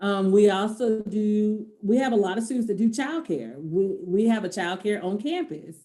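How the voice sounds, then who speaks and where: A plain, everyday voice with lively intonation, a moderate pace and hardly any pauses. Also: woman, medium pitch for a woman. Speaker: early childhood education instructor. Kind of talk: virtual info session presentation. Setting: video call.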